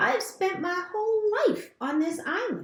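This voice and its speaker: In a put-on character voice, a woman squeaks at an extremely high pitch, with a slight echo around her. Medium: read story. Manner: calm, plain, literal.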